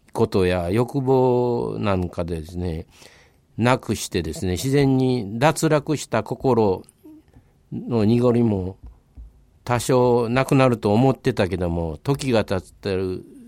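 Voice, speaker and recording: Speaking very slowly, a man with a medium pitch uses lively intonation. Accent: Kansai. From Kobe area, Japan. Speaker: local historian, former history teacher. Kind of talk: radio interview.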